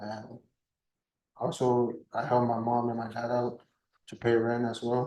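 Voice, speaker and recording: Speaking with a Spanish accent, a man with a medium pitch and a dark, mellow tone talks at a fairly slow pace, using monotone, flat intonation and long, frequent pauses. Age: 20s. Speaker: defendant. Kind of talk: court testimony. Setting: courtroom. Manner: halting, repeating words; quiet.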